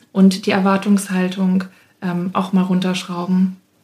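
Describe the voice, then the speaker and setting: A woman with a medium pitch and a dark, mellow tone speaks at a fairly slow pace. Her delivery is somewhat breathy, with monotone, flat intonation. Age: 20s. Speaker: speech therapist and childcare entrepreneur. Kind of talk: interview. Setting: studio.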